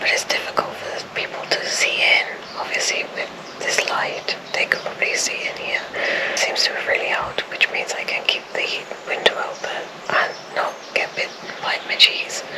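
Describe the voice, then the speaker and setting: Whispering at a moderate pace, a woman is heard with audible room echo and noticeable background noise. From South Wales. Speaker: vlogger. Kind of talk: casual vlog monologue. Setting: outdoors and in a car.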